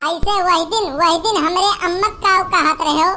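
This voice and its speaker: This woman's put-on character voice reaches an extremely high pitch. Her loudness stays very even. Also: moderate pace. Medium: voice reel. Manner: scolding, aggrieved.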